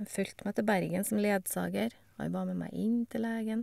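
The recording is very clean, with a silent background and a dry, close sound with no echo. A woman speaks at a fairly quick pace. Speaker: cancer patient. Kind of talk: testimony.

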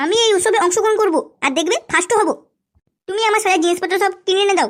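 A woman does a squeaky put-on character voice at an extremely high pitch, talking very fast with very even loudness. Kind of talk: cartoon comedy acting. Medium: cartoon. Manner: bossy, self-admiring, quick to take offence.

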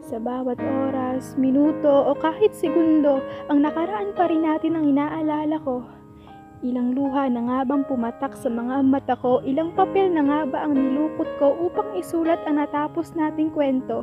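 With music in the background, the speaker keeps a moderate pace and ordinary pitch variation. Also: woman, high pitch for a woman. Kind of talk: spoken word poetry.

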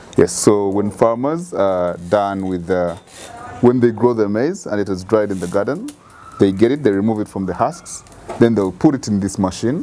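A man speaks at a moderate pace with a fairly low pitch and ordinary pitch variation. His is a plain, everyday voice, with light background noise. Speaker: guest. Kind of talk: interview answer. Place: home room. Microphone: lapel.

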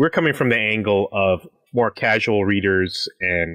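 Against a quiet background, a man speaks in an ordinary speaking voice with a fairly low pitch. His pitch variation is ordinary, and the sound is dry and close, with no echo. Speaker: podcast host. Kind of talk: casual chat. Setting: remote recording at home. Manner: joking, playful.

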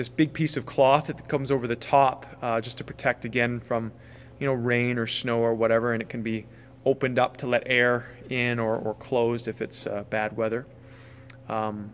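With light background noise behind him, a man speaks in a monotone, flat intonation. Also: moderate pace. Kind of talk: casual vlog chat. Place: tent. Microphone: phone near.

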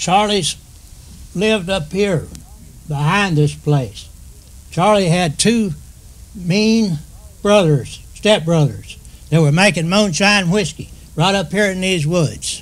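A man with an American accent speaks at a very slow pace in a high voice with ordinary pitch variation. Long, frequent pauses break up his speech. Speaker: retired railroad worker. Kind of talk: oral history storytelling.

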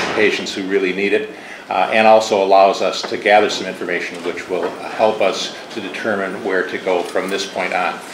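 Through noticeable background noise, the man's speech keeps a moderate pace. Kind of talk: formal testimony. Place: hall. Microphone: podium.

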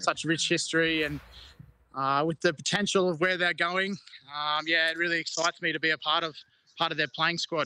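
With an Australian accent, a man talks at a fairly quick pace in a fairly high pitch, his tone bright and sharp, his intonation flat and monotone, and the sound dry with no echo. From Queensland, Australia. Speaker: rugby league player. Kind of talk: interview. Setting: video call. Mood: relaxed, cheerful. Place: garden. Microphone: video call.

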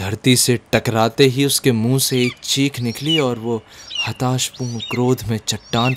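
Fairly even intonation in natural-voiced reading aloud

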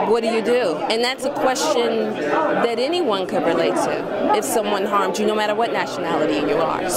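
Loud background noise sits behind a woman talking at a very fast pace. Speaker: film producer and actor. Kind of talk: red carpet interview. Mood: excited, upbeat. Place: hall.

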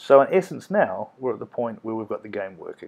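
A man talks with a New Zealand accent. The background is quiet. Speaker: primary school teacher. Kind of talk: coding tutorial narration.

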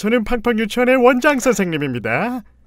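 This man talks at a fairly quick pace in a put-on character voice. His pitch is extremely high. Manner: put-on cartoon character voice.

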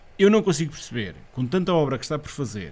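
A man speaks at a very fast pace in a European Portuguese accent. His intonation is lively, with vocal fry. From central Portugal. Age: 40s. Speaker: local election candidate; election candidate. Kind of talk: casual interview. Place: studio. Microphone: studio mic.

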